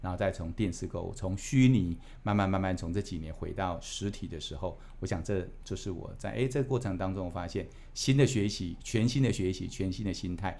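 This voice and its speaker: A dark, mellow tone in a Taiwanese accent, with ordinary pitch variation and audible room echo. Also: man. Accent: Taiwanese Mandarin. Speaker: company executive. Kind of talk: interview. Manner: hesitant, many fillers.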